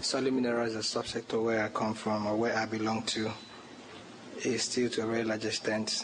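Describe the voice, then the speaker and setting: A man of medium pitch talks at a fairly quick pace in a monotone, flat delivery with very even loudness and long, frequent pauses, amid noticeable background noise and audible room echo. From Nigeria. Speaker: conference presenter. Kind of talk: lecture. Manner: formal.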